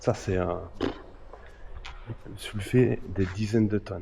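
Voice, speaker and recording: Speaking at a very slow pace, a man has a dark, mellow tone. His voice is somewhat breathy. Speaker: urban explorer vlogger. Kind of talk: casual vlog narration. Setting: outdoors at abandoned factory.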